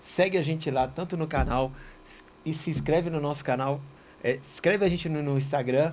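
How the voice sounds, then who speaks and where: In an unremarkable speaking voice, a man talks at a moderate pace with fairly high pitch and fairly even intonation. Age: 60s. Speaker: auto body shop owner and church member. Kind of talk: casual religious study chat.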